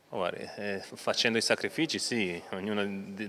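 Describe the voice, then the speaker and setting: A bright, sharp tone comes at a fairly slow pace over light background noise. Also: man. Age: 30s. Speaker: retiring footballer; interviewee. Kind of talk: interview. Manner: halting, many repetitions. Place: home room. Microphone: handheld.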